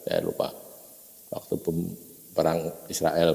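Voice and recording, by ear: A man's extremely low, dark, mellow voice with vocal fry and audible room echo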